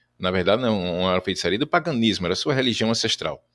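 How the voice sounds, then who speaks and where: Heard on a very clean recording with a silent background, a man with a plain, everyday voice speaks at a fairly low pitch with lively intonation. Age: 50s. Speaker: ghost tour guide. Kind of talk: interview.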